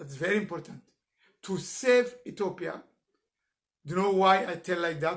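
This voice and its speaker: A man's voice with a non-native accent and ordinary pitch variation. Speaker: political activist. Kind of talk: live stream political address. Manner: halting.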